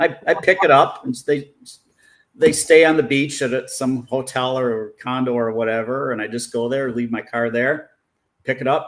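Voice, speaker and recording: A man speaks at a moderate pace in an unremarkable speaking voice, his medium pitch carrying fairly even intonation. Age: 60s. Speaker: professional detailer and engineer. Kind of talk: casual interview chat.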